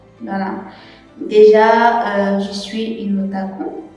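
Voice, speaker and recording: Over background music, a woman speaks in a fairly high voice with fairly even intonation. The room echo is audible. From Cameroon. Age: 20s. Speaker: church youth leader and medical student. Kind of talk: testimony. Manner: hesitant, frequent fillers.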